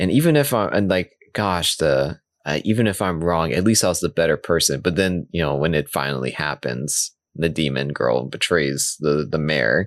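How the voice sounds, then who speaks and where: Vocal fry runs through speech at a moderate pace with ordinary pitch variation, recorded dry and close with no echo. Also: man, very deep, low pitch for a man. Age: 30s. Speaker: anime podcast co-host. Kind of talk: casual chat.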